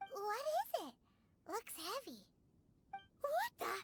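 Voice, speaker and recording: A squeaky, put-on character voice at extremely high pitch and fairly slow pace. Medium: video game. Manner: chatty, cheeky.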